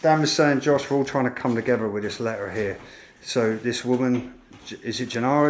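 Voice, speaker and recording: A man with a British accent and fairly even intonation. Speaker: urban explorer vlogger. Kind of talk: exploration vlog narration.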